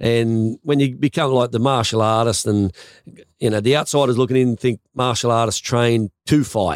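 A man talks at a medium pitch and a moderate pace, his intonation fairly even. The sound is dry and close with no echo, and the loudness stays very even. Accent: Australian. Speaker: podcast host and former martial artist. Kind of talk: casual interview chat.

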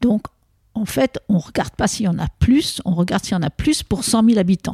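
In a dry, close sound with no echo, a woman with a medium-pitched, dark and mellow voice speaks somewhat breathily at a moderate pace with lively intonation. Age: 70s. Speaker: epidemiologist. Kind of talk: interview.

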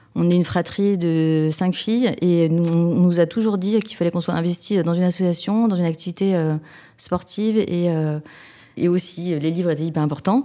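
Her tone dark and mellow, a woman speaks at a moderate pace with fairly low pitch, fairly even intonation and very even loudness. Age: 40s. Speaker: social entrepreneur. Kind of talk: interview. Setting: office. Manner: halting, with frequent fillers.

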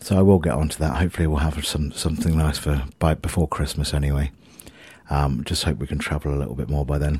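Very fast and fairly even in intonation, a man speaks with a very deep, low pitch. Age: 40s. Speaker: musician and podcaster. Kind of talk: casual monologue. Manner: rambling, hesitant with fillers.

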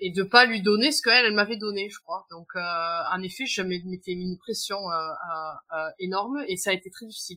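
Moving at a moderate pace, this woman's pitch shows ordinary variation. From southern France. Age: 30s. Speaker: guest sharing perinatal loss story. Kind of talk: testimony. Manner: halting.

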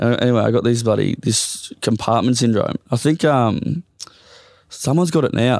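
Speaking at a moderate pace with an Australian accent, a man keeps a medium pitch, ordinary pitch variation and very even loudness, the sound dry and close with no echo. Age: 30s. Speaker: professional football player. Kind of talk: casual chat.

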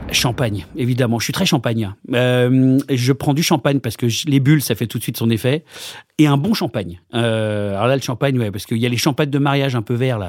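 On a very clean recording with a silent background, a man in an unremarkable speaking voice talks at a fairly quick pace with a medium pitch and ordinary pitch variation. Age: 40s. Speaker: comedian. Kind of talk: casual interview.

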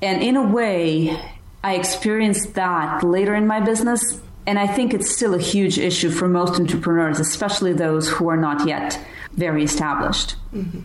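A woman's voice at medium pitch, very even in loudness, with ordinary pitch variation, a moderate pace and noticeable background noise. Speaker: productivity and business systems consultant. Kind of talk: interview.

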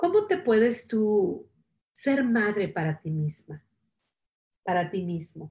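Speaking very slowly with long, frequent pauses, a woman uses a somewhat breathy, dark and mellow voice at medium pitch, her intonation lively. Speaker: self-help show host. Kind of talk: casual motivational talk on live stream. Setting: Facebook Live stream.

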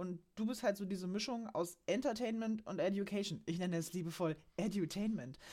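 With a dark, mellow tone and medium pitch, a woman talks at a fairly quick pace with ordinary pitch variation. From Saxony-Anhalt, Germany. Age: 30s. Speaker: financial accountant. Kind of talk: casual chat.

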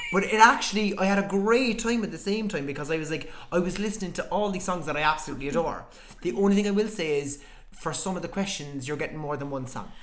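Talking very fast with an Irish accent, a high-pitched man varies his pitch in an ordinary way over noticeable background noise and audible room echo. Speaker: podcaster. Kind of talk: casual chat.

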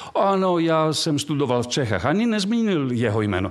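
This speaker talks at a moderate pace in a Greek accent. The pitch swings very widely. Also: man. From Greece. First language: Greek (speaking Czech). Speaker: archaeologist. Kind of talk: casual interview.

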